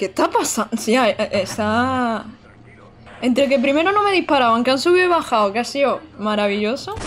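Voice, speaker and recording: A woman's high, animated voice with lively intonation at a moderate pace, over light background noise. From Andalusia, Almería; Andalusia, Spain. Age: 20s. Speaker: gaming streamer. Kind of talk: live gameplay commentary. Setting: home streaming setup. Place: home room.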